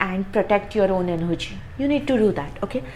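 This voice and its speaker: A woman's medium-pitched voice with a non-native accent, at a fairly quick pace with ordinary pitch variation, and noticeable background noise. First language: not English. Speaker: tarot reader. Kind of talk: tarot reading monologue. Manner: halting, frequent fillers and repeats.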